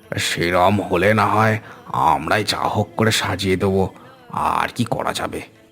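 A man puts on a raspy character voice with a fairly low pitch. He speaks at a moderate pace with ordinary pitch variation. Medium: cartoon. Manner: rustic, colloquial.

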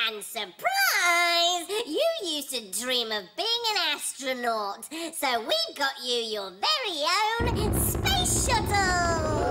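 A high-pitched, cartoonish character voice runs at a very slow pace with hardly any pauses and very wide pitch swings. Loud background noise sits behind it. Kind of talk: comic overacting. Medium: puppet show. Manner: gushing, over-eager.

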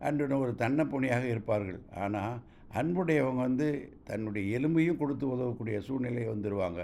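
The man's voice has a dark, mellow tone and medium pitch. His pitch varies in an ordinary way, and room echo is audible. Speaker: retired college lecturer. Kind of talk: recorded voice note explaining a couplet. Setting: voice note recording. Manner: formal.

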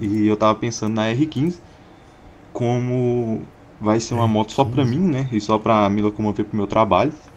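At a moderate pace and with ordinary pitch variation, a man talks with long, frequent pauses over light background noise. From Goiás, Brazil. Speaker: caller, motorcycle owner; motorcycle youtuber. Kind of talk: recorded question to a host. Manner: halting. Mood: playful, joking. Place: home room. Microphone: studio mic.

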